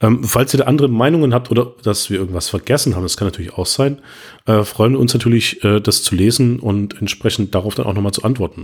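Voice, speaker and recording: Over a very clean recording with a silent background, a man talks very fast at a medium pitch, somewhat breathy, with ordinary pitch variation. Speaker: podcast co-host, web developer. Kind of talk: casual tech discussion.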